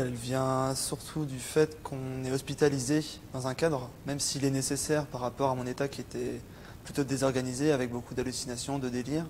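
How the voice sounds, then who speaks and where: Flat, monotone intonation marks this man's medium-pitched voice. He talks at a fairly quick pace. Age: 20s. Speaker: psychiatric patient. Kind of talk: testimony. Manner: halting, many hesitations.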